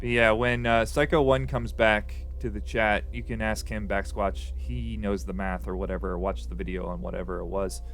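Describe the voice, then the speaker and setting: This man's voice has a very deep, low pitch and lively intonation, moving at a moderate pace with hardly any pauses. Music plays in the background, and the room echo is audible. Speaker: Magic the Gathering streamer. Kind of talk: live gameplay commentary. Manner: casual, thinking aloud.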